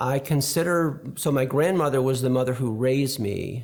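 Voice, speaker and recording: A man speaks at a moderate pace in a medium pitch with an American accent and ordinary pitch variation. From upstate New York. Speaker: interviewee sharing life story. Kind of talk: interview testimony. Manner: halting, frequent fillers.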